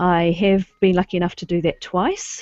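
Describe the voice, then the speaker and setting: A fairly low-pitched woman with a New Zealand accent, fairly even intonation and a dry, close sound with no echo. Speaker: webinar host, local history society committee member. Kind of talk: online presentation. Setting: video call. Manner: casual, frequent um fillers.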